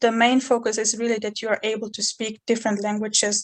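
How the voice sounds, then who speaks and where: With a fairly high pitch, a woman talks in a monotone, flat intonation. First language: Chechen. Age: 20s. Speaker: university student. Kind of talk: interview. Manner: halting.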